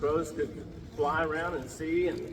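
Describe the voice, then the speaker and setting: A man speaks with an American accent and ordinary pitch variation over noticeable background noise. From Ponca Nation, Oklahoma. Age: old. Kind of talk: traditional storytelling.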